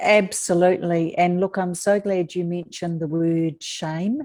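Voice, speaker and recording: A woman with a New Zealand accent, a dark, mellow tone and fairly even intonation. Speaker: author, abuse survivor. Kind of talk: interview.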